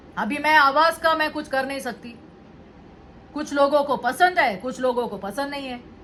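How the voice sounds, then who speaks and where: A woman with a high pitch talks at a fairly slow pace with ordinary pitch variation, and noticeable background noise can be heard. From Indian cities. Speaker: vlogger. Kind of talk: monologue vlog. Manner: Hindi-English code-switching.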